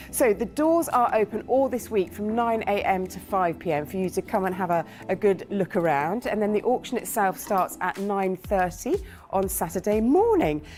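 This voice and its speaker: A woman's unremarkable speaking voice at medium pitch, with lively intonation and a moderate pace. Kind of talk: walking presenter introduction to camera at an auction venue. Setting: indoors at an exhibition centre. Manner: casual, conversational.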